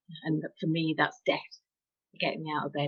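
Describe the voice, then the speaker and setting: A woman with a Yorkshire accent speaks in a very deep, low voice. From Yorkshire, England. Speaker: author. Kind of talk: interview answer.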